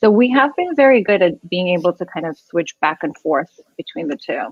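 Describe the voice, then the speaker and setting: With a slight non-native accent, a woman speaks at a medium pitch and moderate pace, her pitch swinging very widely. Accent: slight foreign. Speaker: immigration lawyer. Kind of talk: podcast interview. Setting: live video podcast.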